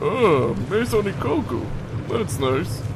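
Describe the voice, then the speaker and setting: In a put-on character voice, a man speaks at a fairly slow pace and a fairly high pitch over loud background noise. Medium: audio drama.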